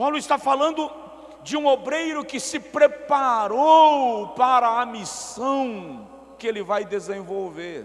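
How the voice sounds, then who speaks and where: A man speaks at an extremely high pitch, going at a very slow pace with lively intonation. Noticeable background noise is present. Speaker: guest preacher. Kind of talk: sermon. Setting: large auditorium with echo. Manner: slow, deliberately paced.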